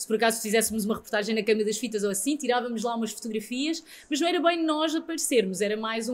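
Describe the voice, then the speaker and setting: A woman talks very fast with hardly any pauses. Her voice is high, with ordinary pitch variation. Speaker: radio presenter. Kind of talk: interview answer.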